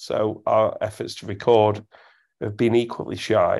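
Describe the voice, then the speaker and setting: A man speaks with an English accent at a fairly slow pace. His tone is dark and mellow. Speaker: football podcast host. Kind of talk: casual chat. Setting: recording at home at night, baby asleep. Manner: speaking quietly.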